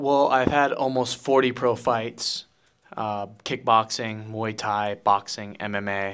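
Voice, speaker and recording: The speaker has a Hawaiian accent and a very slow pace. The intonation stays monotone and flat. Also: man. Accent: Hawaiian American English. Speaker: professional fighter. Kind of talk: interview. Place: meeting room. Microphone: handheld.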